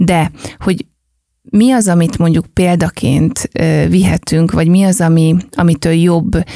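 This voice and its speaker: The voice carries a dark, mellow tone with fairly even intonation and a dry, close sound with no echo. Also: woman. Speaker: entrepreneur, lifestyle company founder. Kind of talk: casual chat.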